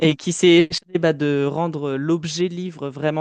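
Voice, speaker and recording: The voice moves at a moderate pace in a monotone, flat intonation. The sound is dry and close with no echo, over a quiet background. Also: man. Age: 20s. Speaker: author and playwright, theatre director. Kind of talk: podcast interview. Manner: hesitant, many fillers.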